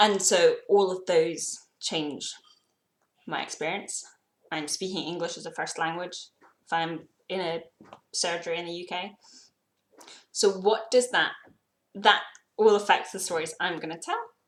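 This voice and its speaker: A woman with a British accent speaks slowly at medium pitch, with fairly even intonation, big swings in loudness and long, frequent pauses. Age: young. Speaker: YouTuber. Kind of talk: personal vlog.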